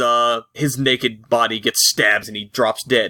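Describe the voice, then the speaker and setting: A man speaks at a moderate pace in a playful tone. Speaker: podcast host. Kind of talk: casual chat. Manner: joking, playful.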